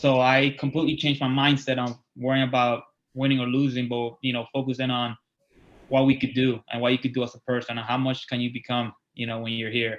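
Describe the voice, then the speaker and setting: A man with a Spanish accent talks at a very fast pace in a monotone, flat intonation. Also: medium pitch for a man. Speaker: college wrestling coach. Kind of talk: interview.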